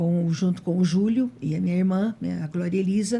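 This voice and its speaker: A woman talks at a moderate pace in a medium pitch, her tone dark and mellow. Her voice is somewhat breathy. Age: 60s. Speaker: retired art teacher, church member. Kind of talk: casual chat.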